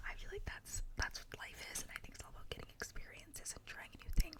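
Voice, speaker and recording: Someone whispers with noticeable background noise. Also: woman. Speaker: ASMR creator. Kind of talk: ASMR whisper ramble. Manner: whispered; casual, rambling.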